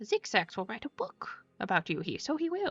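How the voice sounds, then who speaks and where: A put-on character voice at a moderate pace, with faint music in the background. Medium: game stream. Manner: third-person speech, odd verbal tics.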